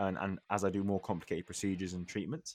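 On a very clean recording with a silent background, a man with a British accent talks at a very fast pace in a fairly low pitch. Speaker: podcast host, dental student. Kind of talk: casual chat.

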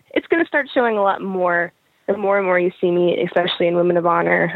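In an American accent, a woman talks in a normal speaking voice. Her pitch is medium and her intonation fairly even. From Pennsylvania, US. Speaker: professional wrestler. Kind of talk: interview.

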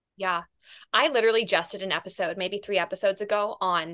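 Loud and bright with a sharp tone, a woman speaks very fast at a medium pitch with ordinary pitch variation over a quiet background. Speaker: podcast host. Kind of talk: casual interview chat. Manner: loud, excitable.

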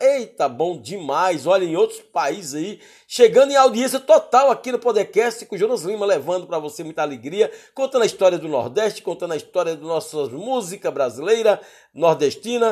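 A man talks in an animated tone with a high pitch and very wide pitch swings. His loudness swings widely on a very clean recording with a silent background. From Bahia, Brazil (Paulo Afonso). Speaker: podcast host. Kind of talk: music show presenting.

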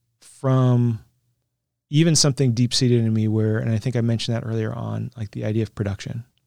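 A man with an American accent speaks at a fairly quick pace in a medium pitch, his tone dark and mellow and his intonation fairly even. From Northern California (Concord, Walnut Creek area). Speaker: pastor. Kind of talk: interview conversation. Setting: studio.

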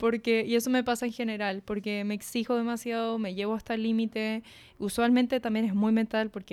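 A woman speaks fairly quickly in a flat monotone, in a very clean recording with a silent background. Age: 20s. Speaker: illustrator and podcast co-host. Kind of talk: casual chat. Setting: dining table at home.

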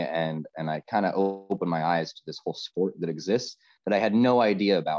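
Speaking at a low pitch and a moderate pace, a man has a slightly mellow tone and ordinary pitch variation.

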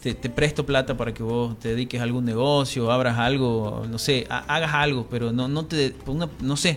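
A man talks with a strong Tucumán accent at a medium pitch and moderate pace. His intonation is fairly even, and there are hardly any pauses. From Tucumán, Argentina. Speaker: singer-songwriter. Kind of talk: interview. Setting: radio studio. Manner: halting, repeats words.

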